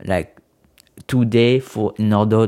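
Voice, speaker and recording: A man with a French accent, fairly low in pitch with a dark, mellow tone, at a very slow pace and fairly even intonation, on a very clean recording with a silent background. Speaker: podcast host. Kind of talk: podcast monologue about spaceflight. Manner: halting, hesitant with many fillers; apologetic about non-native English.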